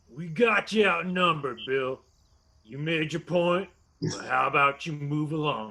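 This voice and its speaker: Putting on a character voice, a man speaks at a moderate pace and a fairly high pitch, with ordinary pitch variation and big swings in loudness. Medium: audio drama. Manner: surly, cursing.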